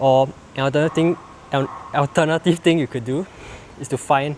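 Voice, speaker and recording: There is noticeable background noise. A man speaks at a medium pitch with fairly even intonation. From Singapore. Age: 20s. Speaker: fitness coach. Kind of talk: fitness tutorial to camera. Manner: casual.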